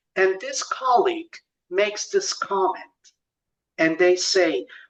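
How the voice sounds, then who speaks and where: Speech with a Spanish accent comes at a fairly slow pace. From Mexico. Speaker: presenter. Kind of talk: lecture.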